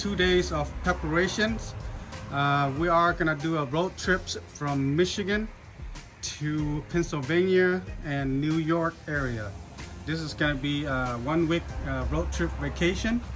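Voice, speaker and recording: A man speaks at a fairly slow pace with ordinary pitch variation, clear music playing in the background. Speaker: road trip vlogger. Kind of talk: casual vlog chat. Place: street. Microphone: phone near.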